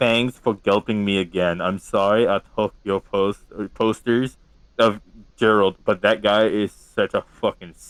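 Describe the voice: Fairly even intonation in plain reading aloud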